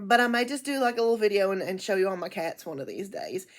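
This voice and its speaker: Loud and at a fairly quick pace, a woman speaks in a very clean recording with a silent background. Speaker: book vlogger. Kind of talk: casual chat. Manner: halting.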